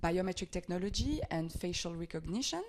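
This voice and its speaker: A woman speaks at a fairly low pitch with a French accent. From France. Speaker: NGO advocacy officer. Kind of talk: podcast interview. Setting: office.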